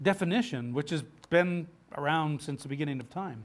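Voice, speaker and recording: On a very clean recording with a silent background, the speech has lively intonation. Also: man. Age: 50s. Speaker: pastor. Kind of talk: sermon. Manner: halting.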